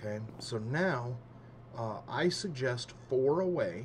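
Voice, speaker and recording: Over noticeable background noise and audible room echo, a man at medium pitch speaks with lively intonation. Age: 30s. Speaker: gaming youtuber. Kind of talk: casual gameplay commentary. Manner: halting, many fillers.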